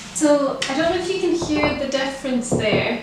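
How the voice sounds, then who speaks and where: Someone speaks with a Scottish accent and ordinary pitch variation over noticeable background noise. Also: woman. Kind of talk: casual home tour narration to camera.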